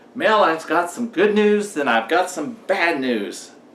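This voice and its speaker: Very wide pitch swings mark a man's speech, heard with audible room echo. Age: 60s. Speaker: motivational vlogger. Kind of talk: storytelling monologue.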